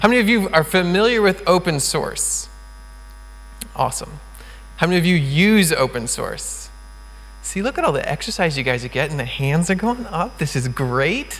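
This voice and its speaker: A man with an American accent, long, frequent pauses, audible room echo and noticeable background noise. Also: moderate pace. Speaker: conference speaker, open source community founder. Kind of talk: conference talk. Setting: stage with audience. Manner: enthusiastic.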